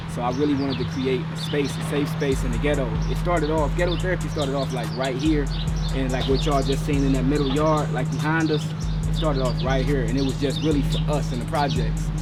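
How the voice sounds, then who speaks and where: Music plays behind a man speaking very fast with an American accent, and the room echo is audible. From Cleveland, Ohio, US. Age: 30s. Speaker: community mental health service founder. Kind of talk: documentary interview. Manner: casual, conversational.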